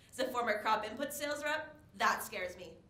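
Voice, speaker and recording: In a Canadian accent, a woman talks at a very fast pace with an animated tone and ordinary pitch variation, with room echo audible. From Eastern Canada. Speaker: farm equipment sales rep. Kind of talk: conference presentation. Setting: stage with audience.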